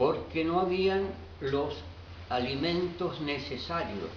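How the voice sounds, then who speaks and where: A man with a fairly high pitch speaks at a very slow pace, his intonation lively. Noticeable background noise and audible room echo fill the recording. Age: 80s+. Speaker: interviewee, eyewitness. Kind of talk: interview answers.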